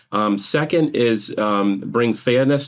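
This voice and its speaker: A man with a medium pitch speaks with a New England accent. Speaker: nonprofit orchestra CEO. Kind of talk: podcast interview. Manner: frequent filler words (um, uh).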